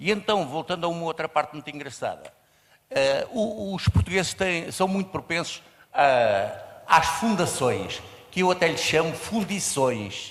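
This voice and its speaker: A man speaks in a high pitch at a moderate pace. His intonation is lively. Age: 70s. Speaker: audience member. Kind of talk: audience comment.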